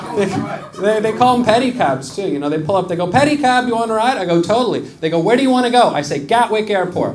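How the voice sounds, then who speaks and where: A man with an American accent speaks in a high voice with very wide pitch swings, over noticeable background noise and audible room echo. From US. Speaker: stand-up comedian. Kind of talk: stand-up. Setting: stage with audience.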